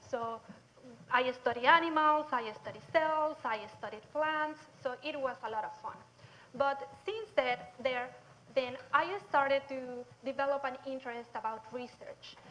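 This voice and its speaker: With a Mexican accent, a woman speaks at a fairly slow pace, her high pitch showing ordinary variation. Her loudness swings widely. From southern Mexico. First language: Spanish. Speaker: nutrition researcher. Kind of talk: public lecture.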